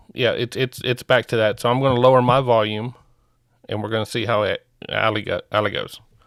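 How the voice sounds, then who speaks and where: A man speaks at a fairly quick pace in a flat monotone. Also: medium pitch for a man, dry, close sound with no echo, very clean recording, silent background. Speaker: livestream host reacting to court videos. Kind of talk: casual chat. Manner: loud.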